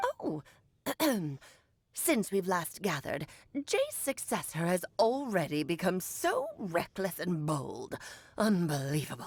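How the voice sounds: A put-on character voice moves at a fairly slow pace with long, frequent pauses. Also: woman, medium pitch for a woman.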